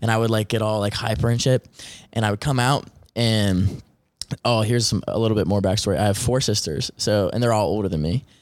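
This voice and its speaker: A man with a fairly low pitch talks at a fairly quick pace with a slight Southern US accent. His ordinary pitch variation comes through on a very clean recording with a silent background. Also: very even loudness. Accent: slight Southern twang. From Western Maryland. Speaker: artist. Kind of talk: casual interview chat.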